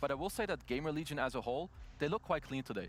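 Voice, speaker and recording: The speaker has a non-native accent and lively intonation. The pace is very fast. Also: man. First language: not English. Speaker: esports panel analyst. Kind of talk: panel analysis discussion.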